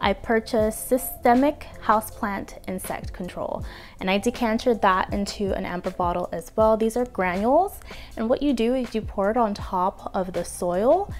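A woman speaks at a moderate pace with ordinary pitch variation. Faint music plays in the background. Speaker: plant care vlogger. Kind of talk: casual product review chat. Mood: cheerful, playful. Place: home room. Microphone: lapel.

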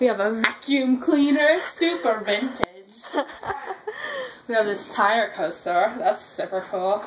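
A woman talks at a fairly slow pace with lively intonation amid noticeable background noise. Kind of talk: casual vlog chat. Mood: playful, joking. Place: home room. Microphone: phone near.

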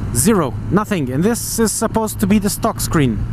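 The sound is dry with no echo, though there is noticeable background noise. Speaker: motorcycle reviewer. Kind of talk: riding commentary. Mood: enthusiastic, relaxed. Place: motorbike. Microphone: helmet.

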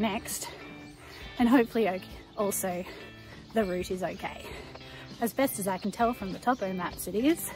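Clear music plays in the background as a woman speaks at a moderate pace with ordinary pitch variation and long, frequent pauses, the sound dry with no echo. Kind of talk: casual vlog chat. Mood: cheerful, upbeat. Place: street. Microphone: phone near.

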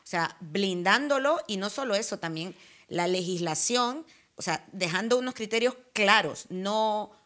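A woman's bright, sharp tone with ordinary pitch variation over a quiet background. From Honduras, north coast. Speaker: antiracist feminist activist; talk show guest. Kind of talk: panel discussion. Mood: earnest, critical. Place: studio. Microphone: lapel.

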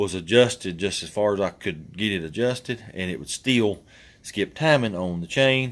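A man speaks in a normal speaking voice, fairly low in pitch. His delivery has ordinary pitch variation and a moderate pace. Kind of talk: casual vlog chat. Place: garage.

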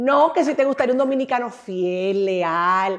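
Against a quiet background, a woman talks at a fairly slow pace with a medium pitch and ordinary pitch variation. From Dominican Republic. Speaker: radio and TV talk show host; radio, TV talk show host. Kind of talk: interview. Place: studio. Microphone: lapel.

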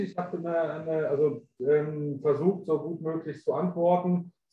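A high-pitched male voice with audible room echo and light background noise. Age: young. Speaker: webinar co-host and moderator; webinar co-host, moderator. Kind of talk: webinar moderation. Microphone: video call.

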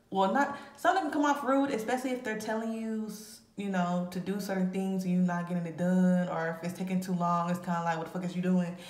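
With audible room echo, a woman speaks at a very fast pace and with ordinary pitch variation. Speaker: tarot reader. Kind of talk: casual tarot reading commentary. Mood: casual, amused. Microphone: phone near.

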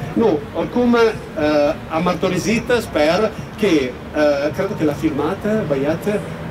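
Over noticeable background noise, a man with a fairly high pitch speaks at a very slow pace, his intonation lively and his loudness very even. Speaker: complainant, Italian citizen living in Romania. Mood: upset, indignant. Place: street.

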